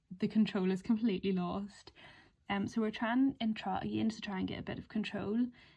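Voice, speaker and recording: Her intonation is monotone and flat, and her voice somewhat breathy. The woman talks at a fairly quick pace with medium pitch. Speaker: equestrian vlogger. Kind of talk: voiceover commentary. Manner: casual, hesitant with many ums.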